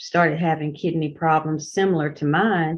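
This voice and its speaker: A woman speaks with a very deep, low pitch. Her intonation is fairly even. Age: 60s. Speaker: retired nurse giving testimonial. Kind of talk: testimony. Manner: halting.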